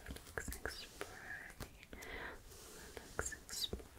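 A soft-spoken woman whispers at a very slow pace in a soothing tone. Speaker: ASMR roleplay host. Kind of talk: soft ASMR roleplay talk. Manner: soft close whisper, soothing. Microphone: studio mic.

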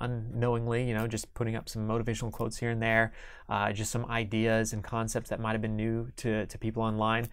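A man with a Midwestern American accent speaks in a monotone, flat intonation on a very clean recording with a silent background. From Kansas. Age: 30s. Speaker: entrepreneur. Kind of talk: interview. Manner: halting.

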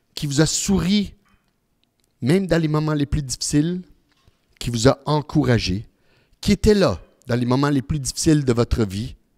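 With lively intonation and a fairly high pitch, a man talks at a moderate pace with long, frequent pauses over a quiet background. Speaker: humorist, magician and presenter giving a talk on grief; presenter. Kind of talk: live talk with magic demonstration. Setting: stage with live and online audience. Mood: warm, consoling. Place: hall. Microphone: handheld.

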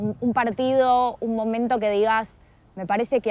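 A woman with a fairly high pitch and fairly even intonation, a plain, everyday voice, in a dry sound with no echo. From Argentina. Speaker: interviewer. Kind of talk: interview. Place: garden.

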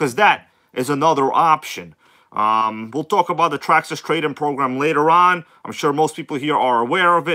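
The background is quiet as a man speaks at a moderate pace. His tone is bright and sharp. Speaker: RC hobby livestream host. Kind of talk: casual livestream chat reading comments. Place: home room. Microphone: phone near.

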